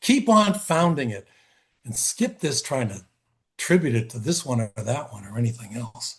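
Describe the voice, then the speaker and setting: Against a quiet background, a man at a medium pitch speaks at a moderate pace in a somewhat breathy voice. His intonation is lively and his loudness swings widely. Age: 70s. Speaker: expressive arts therapist and educator. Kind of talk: conference talk. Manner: halting, many fillers and restarts.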